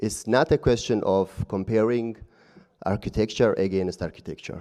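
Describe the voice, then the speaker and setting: A man with a non-native accent and a dark, mellow tone speaks at a fairly low pitch and a moderate pace, with ordinary pitch variation. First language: not English. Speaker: audience member. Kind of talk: debate rebuttal. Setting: live event with audience.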